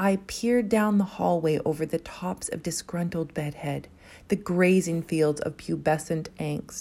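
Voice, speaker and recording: A woman's unremarkable speaking voice, fairly low in pitch, with fairly even intonation and a fairly slow pace, in a very clean recording over a silent background. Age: 30s. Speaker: poet. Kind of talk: spoken word poetry.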